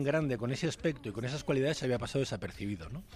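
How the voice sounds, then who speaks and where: A man speaks with a fairly high pitch. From Galicia, Spain. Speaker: basketball commentator. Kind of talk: casual chat.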